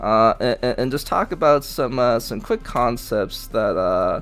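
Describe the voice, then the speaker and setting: Music plays in the background as a man mumbles. His pace is moderate. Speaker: gaming streamer. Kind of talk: tutorial. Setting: live stream. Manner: mumbling; halting.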